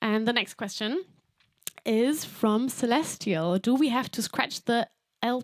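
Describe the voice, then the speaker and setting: A woman talks fairly slowly, her pitch moving in an ordinary way, in a very clean recording against a silent background. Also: dry, close sound with no echo. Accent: German. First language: German. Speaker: singer-songwriter. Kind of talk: livestream Q&A. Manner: casual, hesitant with fillers.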